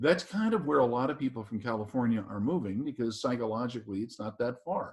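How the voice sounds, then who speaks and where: A man speaks at a moderate pace in a plain, everyday voice. His pitch sits in the middle range, with lively intonation. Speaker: practice consultant and webinar host. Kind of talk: webinar presentation. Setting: online webinar.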